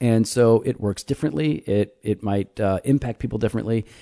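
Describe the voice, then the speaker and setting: A man talks at a fairly quick pace in a fairly low pitch with a dark, mellow tone, recorded dry and close with no echo against a quiet background. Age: 40s. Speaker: pastor and podcast host. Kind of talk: casual chat. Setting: garage recording. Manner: joking, playful.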